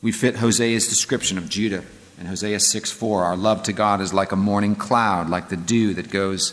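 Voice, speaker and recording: A man with an American accent, fairly low in pitch, at a moderate pace with fairly even intonation and audible room echo. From Northern California. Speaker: pastor. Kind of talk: lecture.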